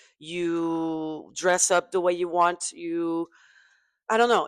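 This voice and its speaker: Someone speaks at a very slow pace with a French accent. The recording is very clean, with a silent background. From southwest France. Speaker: pop singer and podcast host. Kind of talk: casual chat. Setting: studio table with guests over wine. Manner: halting, searching for words.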